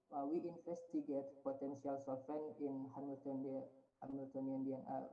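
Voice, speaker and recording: Audible room echo surrounds a man speaking in a fairly high pitch. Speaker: researcher presenting at conference. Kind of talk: conference presentation. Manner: halting.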